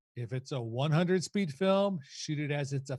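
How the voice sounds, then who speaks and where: A man talks at a moderate pace in a fairly high pitch, somewhat breathy, with lively intonation. The recording is very clean, with a silent background. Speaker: photography educator. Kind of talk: lecture.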